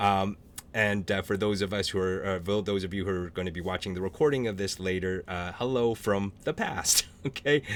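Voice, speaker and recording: This man has an unremarkable speaking voice, ordinary pitch variation, and a fairly quick pace. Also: fairly low pitch for a man. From small-town French Canadian Canada. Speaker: author and panel moderator. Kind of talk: virtual panel moderation. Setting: Zoom video call.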